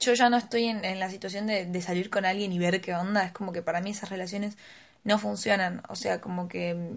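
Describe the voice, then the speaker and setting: A woman with a Rioplatense accent talks at a fairly quick pace. Her intonation is monotone and flat. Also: medium pitch for a woman. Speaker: podcast co-host. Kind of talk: casual chat.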